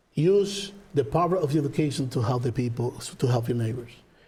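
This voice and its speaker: Somewhat breathy and dark, mellow in tone, a man speaks at a moderate pace with a fairly high pitch and very wide pitch swings. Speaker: political candidate, lawyer. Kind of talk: closing statement.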